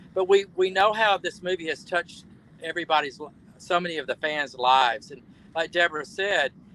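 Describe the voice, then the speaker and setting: A man talks at a fairly quick pace in a high, bright and sharp voice with ordinary pitch variation and big swings in loudness, recorded dry and close with no echo. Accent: Southern US. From US South, Alabama. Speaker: actor. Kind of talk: casual chat. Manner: halting.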